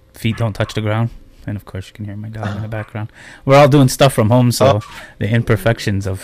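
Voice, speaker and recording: Talking at a fairly quick pace, a man with an unremarkable speaking voice keeps a medium pitch and fairly even intonation, while his loudness swings a lot. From Akwesasne, Canadian border. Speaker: internet radio host and smoothie business owner. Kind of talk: casual interview chat. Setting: online video platform interview.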